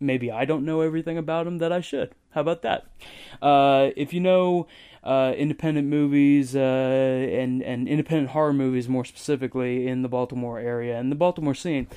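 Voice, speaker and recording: A dark, mellow tone in an American accent, with fairly even intonation at a fairly quick pace. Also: man, fairly high pitch for a man. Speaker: podcast host. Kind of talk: casual chat. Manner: casual, profane.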